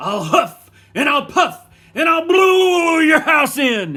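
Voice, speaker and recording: An extremely high-pitched, put-on character voice from a man, delivered at a very slow pace. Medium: read story. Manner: menacing, blustery.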